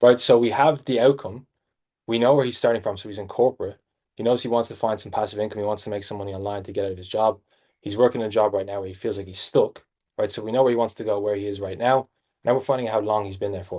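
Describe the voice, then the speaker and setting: A man with a strong Irish accent speaks very fast in a fairly low pitch and a dark, mellow tone. His intonation is fairly even, his loudness swings a lot, and the background is quiet. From Ireland. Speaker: sales coach. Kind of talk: sales training breakdown.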